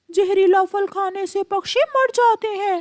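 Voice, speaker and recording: A cartoonish character voice squeaks at an extremely high pitch. It moves at a moderate pace. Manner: urgent, caring.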